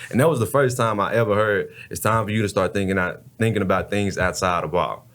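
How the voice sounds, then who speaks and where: A man with an American accent speaks at a fairly quick pace in a normal speaking voice. His pitch is fairly low, with ordinary pitch variation. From Texas, Dallas. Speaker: former college football player and advocate. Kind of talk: testimony.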